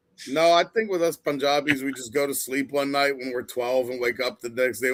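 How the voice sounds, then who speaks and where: Here is a man with an unremarkable speaking voice at a medium pitch. His pace is fairly quick and his pitch variation ordinary. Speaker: podcast co-host. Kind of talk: casual chat.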